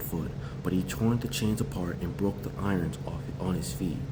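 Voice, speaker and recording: Audible room echo and noticeable background noise behind moderate-paced speech with lively intonation. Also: man. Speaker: bible reader. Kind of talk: reading aloud. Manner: halting, repeats words. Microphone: quiet, volume to be raised.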